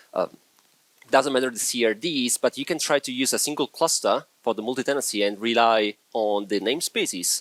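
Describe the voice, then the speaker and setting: Lively in intonation, a man with an Italian accent speaks in a dry, close sound with no echo. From Italy. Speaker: software engineer, conference speaker. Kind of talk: conference talk.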